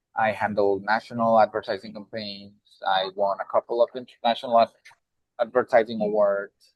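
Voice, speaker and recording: A man speaks at a fairly quick pace with a strong Mexican accent. His fairly low voice stays monotone and flat. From Mexico (Puebla). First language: Spanish. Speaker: nonprofit executive director. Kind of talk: panel discussion.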